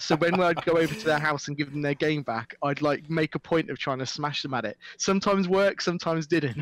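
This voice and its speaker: This man talks at a very fast pace with hardly any pauses, his fairly high pitch showing ordinary variation, in a dry, close sound with no echo. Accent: Midlands. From English Midlands, Stourport-on-Severn, Worcestershire. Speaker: esports presenter and commentator. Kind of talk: casual chat.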